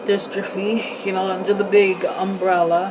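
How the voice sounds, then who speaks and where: Noticeable background noise under a woman talking at a moderate pace. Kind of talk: casual talk to camera. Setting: home, ventilator noise audible. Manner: slurred, out of breath.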